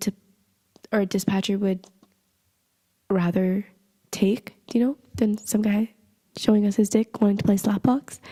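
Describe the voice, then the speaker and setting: At a moderate pace, a woman talks at medium pitch in a somewhat breathy voice. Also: dry, close sound with no echo. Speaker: podcast host. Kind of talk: casual storytelling podcast.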